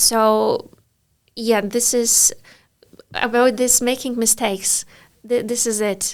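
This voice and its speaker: Very slowly and in a flat monotone, a woman speaks with a Polish accent, leaving long, frequent pauses. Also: fairly high pitch for a woman. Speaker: English teacher. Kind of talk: casual interview.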